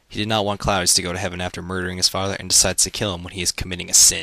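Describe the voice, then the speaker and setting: Pitched very deep and low, a man speaks in a bright, sharp tone with monotone, flat intonation. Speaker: student. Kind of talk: read school essay summary. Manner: casual, humorous.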